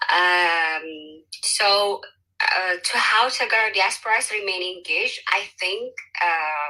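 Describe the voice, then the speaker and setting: In an Ethiopian accent, a woman speaks very slowly at medium pitch, with a bright, sharp tone and ordinary pitch variation. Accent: Ethiopian (Tigrayan) English. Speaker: social entrepreneur, panelist. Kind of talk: panel discussion.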